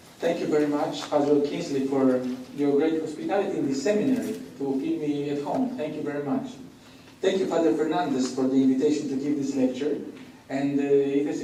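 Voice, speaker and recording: Through audible room echo and noticeable background noise, a man with a non-native accent talks at a fairly quick pace in a fairly high pitch with ordinary pitch variation. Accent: foreign. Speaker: priest and professor. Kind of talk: lecture.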